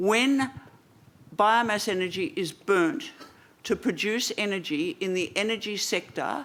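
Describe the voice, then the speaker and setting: Using an Australian accent, a woman of medium pitch speaks at a fairly slow pace with lively intonation. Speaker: environmental policy coordinator and press conference moderator. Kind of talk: press conference answer. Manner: hesitant with fillers.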